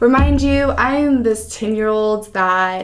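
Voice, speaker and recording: The speaker is a woman. She has a Californian accent. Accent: Californian American English. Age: 20s. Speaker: foster care advocate. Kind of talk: interview.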